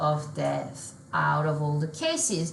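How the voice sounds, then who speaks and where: A woman is heard over noticeable background noise, with audible room echo around her voice. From France. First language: French. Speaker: solution engineer. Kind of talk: software demo.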